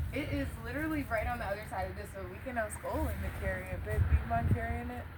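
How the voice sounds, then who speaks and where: This woman talks at a very fast pace in an animated tone. Audible room echo and noticeable background noise surround her voice. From Florida. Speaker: vlogger. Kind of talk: casual chat.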